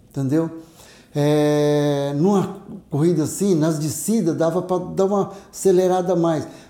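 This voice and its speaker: Over audible room echo, a man with a high pitch and a dark, mellow tone speaks at a fairly slow pace with fairly even intonation. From interior of São Paulo state, Brazil. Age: 60s. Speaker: retired biology teacher and ultramarathon runner. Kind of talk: casual interview.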